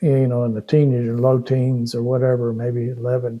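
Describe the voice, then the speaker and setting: With a Texan accent, a man speaks at a medium pitch and a moderate pace. His tone is dark and mellow. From Austin, Texas. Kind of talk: interview answer. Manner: hesitant, conversational.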